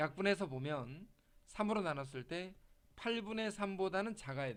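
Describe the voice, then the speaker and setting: Using lively intonation and big swings in loudness, a man with a high pitch talks at a moderate pace, leaving long, frequent pauses. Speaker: math tutor. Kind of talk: lecture. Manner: casual, informal.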